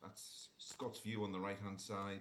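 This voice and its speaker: A man's fairly low-pitched voice at a fairly quick pace, with audible room echo. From northern England, Sunderland. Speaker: orthopaedic surgeon. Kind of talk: conference talk. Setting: remote presentation to conference. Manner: halting, many fillers.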